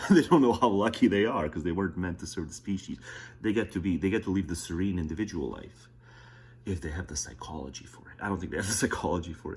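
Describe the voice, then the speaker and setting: A man whispers at a very fast pace, with vocal fry. His loudness swings widely. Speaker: political commentary streamer. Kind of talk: casual commentary over a played video. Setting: at home, close to the wall, early morning. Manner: whispering.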